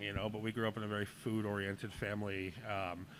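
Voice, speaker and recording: Pitched fairly low, the man's voice comes at a fairly quick pace. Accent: Boston. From New England (Boston and Portland, Maine). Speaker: chef and restaurant owner. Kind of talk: casual interview.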